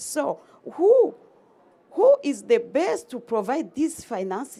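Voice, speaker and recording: The tone is dark and mellow, and the pitch swings very widely. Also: woman. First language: French. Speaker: conference attendee. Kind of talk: audience comment at conference. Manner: halting.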